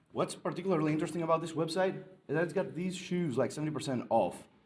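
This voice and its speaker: A man's fairly high-pitched voice with audible room echo. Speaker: conference presenter. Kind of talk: conference talk. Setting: stage with audience. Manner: hesitant, many fillers.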